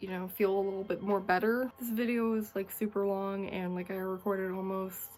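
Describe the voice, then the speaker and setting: A woman's medium-pitched voice in a flat monotone, over music in the background. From Canada. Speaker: YouTuber and Twitch streamer. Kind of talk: scripted narration and casual outro. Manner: halting, repeats words.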